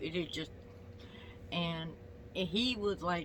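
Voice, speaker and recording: A woman speaks at a fairly slow pace. The recording has audible room echo. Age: 60s. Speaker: vlogger. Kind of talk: casual vlog chat. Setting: at home, on the bed. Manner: halting, with many fillers.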